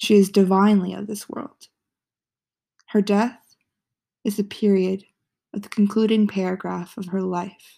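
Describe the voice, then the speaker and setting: A woman with a medium pitch and a dark, mellow tone speaks at a fairly slow pace in a monotone, flat way, with long, frequent pauses. Her loudness swings widely, and the recording is very clean with a silent background. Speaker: blogger and poet reading own writing. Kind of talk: reading aloud own poem.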